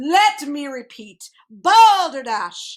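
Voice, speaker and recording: A woman shouts in a put-on character voice at a high pitch. Her pitch swings very wide. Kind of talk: pompous. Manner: booming, shouting.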